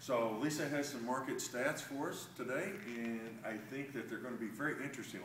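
A man with a medium-pitched voice at a fairly quick pace, with light background noise and audible room echo. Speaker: real estate agent. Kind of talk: promotional market update video. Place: meeting room. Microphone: camera far.

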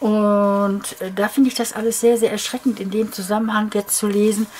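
Light background noise accompanies a woman talking at a moderate pace. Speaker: crafter vlogger. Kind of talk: casual vlog chat. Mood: indignant, worried.

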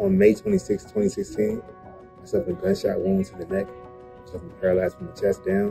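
Over clear music in the background, a man with a fairly low pitch talks at a very fast pace with lively intonation. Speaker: gunshot survivor with spinal cord injury. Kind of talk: interview answer. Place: home room. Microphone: phone near.

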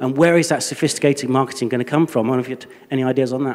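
A man talks in a Yorkshire accent. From Leeds. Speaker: audience member. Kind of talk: audience question. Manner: loud. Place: hall. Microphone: handheld.

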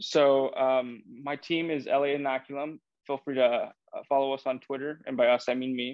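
At a moderate pace, a man speaks with monotone, flat intonation. The sound is dry with no echo over a quiet background. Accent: American. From Iowa, US Midwest. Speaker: research technician; guest. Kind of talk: technical presentation. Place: office. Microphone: video call.

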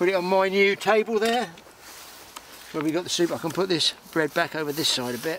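A man talks at a fairly quick pace in a high pitch, with a fairly bright tone and ordinary pitch variation.

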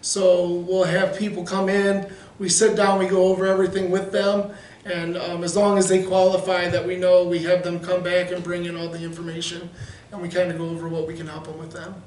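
The speech moves at a fairly quick pace with monotone, flat intonation. Audible room echo surrounds it. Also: man. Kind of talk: interview answer. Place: meeting room. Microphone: camera far.

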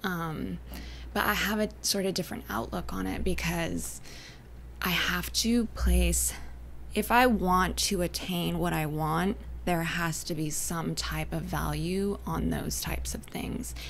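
There is light background noise as a woman talks at a fairly slow pace. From Northern California, Humboldt County; Northern California. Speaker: artist and entrepreneur; podcast guest. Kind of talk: casual interview chat. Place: studio. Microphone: studio mic.

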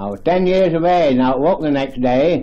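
Here a man speaks in an East Midlands accent. His tone is dark and mellow, and his pace is fairly slow. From Leicestershire, England. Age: 80s+. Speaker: elderly village resident. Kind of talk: oral history interview answer. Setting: archival field recording. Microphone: old recording.

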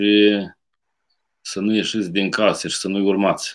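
The background stays quiet. A man with a fairly low pitch talks at a moderate pace. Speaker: priest. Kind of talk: sermon. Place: home room. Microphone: webcam.

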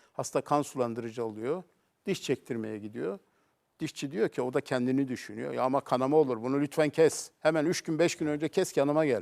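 Fairly quick and fairly high-pitched, a man speaks in a plain, everyday voice with ordinary pitch variation, recorded dry and close with no echo on a very clean track with a silent background. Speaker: cardiovascular surgeon. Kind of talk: TV talk show interview. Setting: TV studio.

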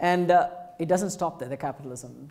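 The man's voice has a dark, mellow tone. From India (Madras/Chennai). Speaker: professor giving inaugural lecture. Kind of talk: lecture. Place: hall.

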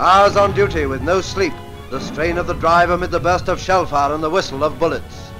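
Speech at a fairly quick pace plays with clear music in the background. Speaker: newsreel narrator. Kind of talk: newsreel narration. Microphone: old recording.

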